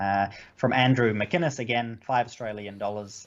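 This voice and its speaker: A man with a New Zealand accent, medium pitch for a man, ordinary pitch variation and a moderate pace. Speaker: podcast co-host. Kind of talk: casual chat. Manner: halting, many fillers.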